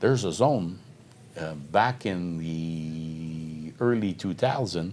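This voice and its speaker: In a Quebec French accent, a man speaks with a very deep, low pitch and lively intonation. Audible room echo surrounds his voice. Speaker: mining company executive. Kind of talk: interview. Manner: halting.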